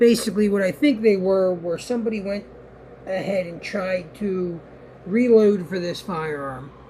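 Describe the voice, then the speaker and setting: The speech moves at a moderate pace while noticeable background noise continues. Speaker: gun channel host, gun store worker. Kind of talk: show-and-tell tutorial. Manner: trying to speak louder.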